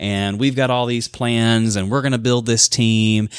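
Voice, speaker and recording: Here a man speaks with a Southern US accent at a moderate pace. The recording is very clean, the background silent. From US South, Alabama (Birmingham). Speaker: author and life coach, former pastor. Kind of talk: interview testimony.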